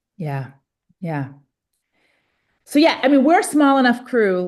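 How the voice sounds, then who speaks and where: The woman's voice sits at a high pitch. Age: 40s. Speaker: pastor and climate activist. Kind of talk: facilitating group discussion. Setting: video call.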